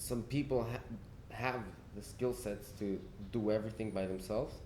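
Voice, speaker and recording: Against audible room echo, a man with a fairly low pitch and a dark, mellow tone talks at a moderate pace. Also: fairly even intonation. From Spain and Argentina. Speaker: musician. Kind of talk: casual interview chat.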